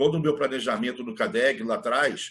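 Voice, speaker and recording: A man speaks with very wide pitch swings. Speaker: business leader and trainer. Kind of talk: online mentoring talk. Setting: online video session. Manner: fast.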